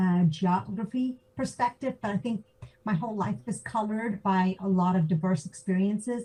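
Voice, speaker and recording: A woman with an American accent speaks at a moderate pace and medium pitch with ordinary pitch variation. Her dark, mellow tone is somewhat breathy. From US (Georgia, Atlanta). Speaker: business consultant. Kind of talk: interview. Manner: halting, many fillers.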